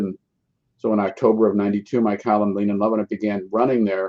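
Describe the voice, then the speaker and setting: A man talks at a very fast pace. His voice sits fairly low. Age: 70s. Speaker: food writer and cookbook author. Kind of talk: casual interview.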